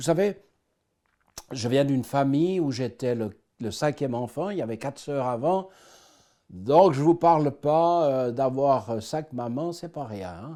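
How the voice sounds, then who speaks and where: In a very clean recording with a silent background, a man with a dark, mellow tone and fairly high pitch talks at a fairly slow pace, using lively intonation, big swings in loudness, and long, frequent pauses. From Switzerland, Swiss Jura. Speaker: person giving faith testimony. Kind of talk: testimony.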